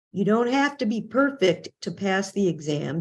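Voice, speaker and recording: A woman speaks with lively intonation. Her voice has vocal fry. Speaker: court interpreter and trainer. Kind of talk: podcast interview.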